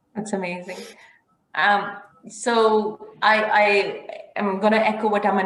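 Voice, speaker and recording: A woman's voice with a Pakistani accent, in audible room echo. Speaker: IT professional, university alumna. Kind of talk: panel talk.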